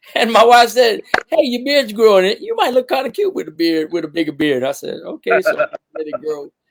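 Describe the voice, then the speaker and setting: Extremely high-pitched, a man with a Cajun accent talks with very wide pitch swings. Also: fairly quick pace. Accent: authentic Cajun. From Louisiana, Cajun bayou country. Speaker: musician. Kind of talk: casual chat.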